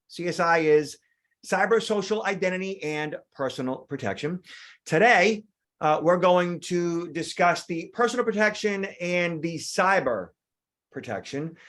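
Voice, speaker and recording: A man with an American accent, high in pitch, at a fairly slow pace with ordinary pitch variation. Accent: Boston accent, stronger when tired. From Boston, Massachusetts. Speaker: security trainer. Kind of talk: online training presentation. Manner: many filler words (uh, um).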